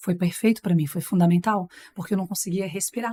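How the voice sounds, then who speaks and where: In a very clean recording with a silent background and a dry, close sound with no echo, a woman speaks in a somewhat breathy, dark, mellow tone with ordinary pitch variation. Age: 40s. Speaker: TV presenter and master of ceremonies. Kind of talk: casual chat.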